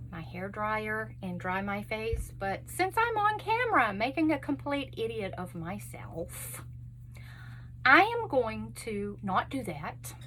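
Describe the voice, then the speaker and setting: This woman speaks with a Texas accent. Her pace is very slow. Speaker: beauty vlogger. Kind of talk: makeup tutorial chat. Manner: casual, chatty.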